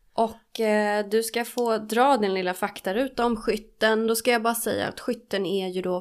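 The recording is very clean and the background silent. A woman talks at a medium pitch. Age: 30s. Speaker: podcast co-host, studying to be a recovery therapist. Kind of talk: casual chat.

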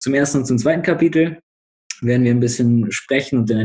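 A man's voice comes across dark and mellow in tone, somewhat breathy. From northern Germany (Bremen). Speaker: student podcast host, trained educator. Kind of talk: casual discussion podcast.

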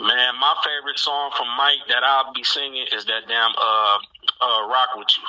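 Moderate-paced speech from a man, noticeable background noise behind him. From Mount Clemens, Detroit area, US. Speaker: rapper. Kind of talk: casual interview.

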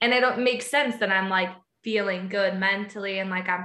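A woman's unremarkable speaking voice at medium pitch and a moderate pace. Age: 20s. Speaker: sales leader. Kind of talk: casual interview. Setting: remote call.

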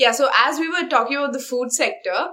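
In a raised, projected voice, a woman talks at a high pitch with ordinary pitch variation. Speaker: college student. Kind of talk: casual chat.

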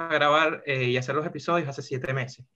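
A man's fairly high voice with a Venezuelan accent and fairly even intonation. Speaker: podcast host. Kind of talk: casual podcast chat.

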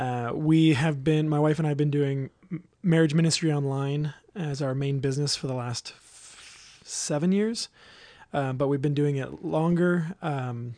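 A man with a Californian accent speaks at a moderate pace in a fairly high pitch with fairly even intonation. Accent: Californian American English. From Southern California. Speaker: marriage ministry leader. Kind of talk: casual interview chat.

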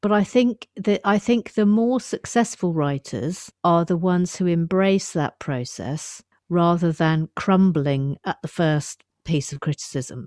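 In an English accent, a woman speaks at a fairly slow pace with a fairly low pitch, a dark, mellow tone and lively intonation. The sound is dry and close with no echo, and the very clean recording has a silent background. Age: 50s. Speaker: writer and comedian. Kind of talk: casual chat.

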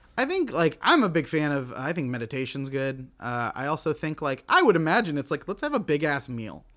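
A man with an American accent talks at a fairly quick pace with hardly any pauses. He has a normal speaking voice, fairly high in pitch. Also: ordinary pitch variation. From Oklahoma. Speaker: actor and improviser. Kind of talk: casual chat.

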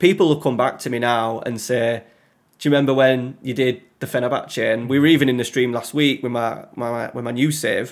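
A man with a Yorkshire accent speaks at a fairly quick pace. His pitch is medium and his intonation fairly even. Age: 30s. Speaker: content creator. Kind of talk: casual chat.

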